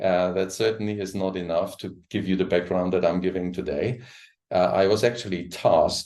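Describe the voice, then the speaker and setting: A man with a German accent has a very deep, low pitch. He talks at a moderate pace with fairly even intonation. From Germany. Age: 60s. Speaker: coach and trainer. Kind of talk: presentation. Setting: live stream. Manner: halting.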